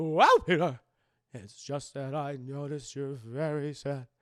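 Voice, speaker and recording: A man's put-on character voice, fairly high in pitch and fairly slow. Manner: gentle, sympathetic.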